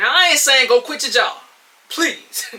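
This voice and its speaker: A woman speaks in an excited tone at a moderate pace. Noticeable background noise runs behind her. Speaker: podcast host. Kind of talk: solo podcast monologue. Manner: loud, excited.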